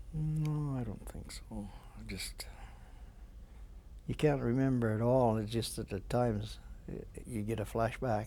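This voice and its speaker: The speaker has a Canadian accent and a fairly slow pace. Long, frequent pauses come through with audible room echo. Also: man. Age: 70s. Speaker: war veteran. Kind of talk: interview. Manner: halting.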